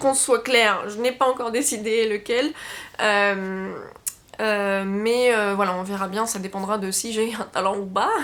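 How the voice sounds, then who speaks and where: A woman with a fairly high pitch and fairly even intonation, at a fairly slow pace, with noticeable background noise. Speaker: book YouTuber. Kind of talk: casual chat. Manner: hesitant, many fillers.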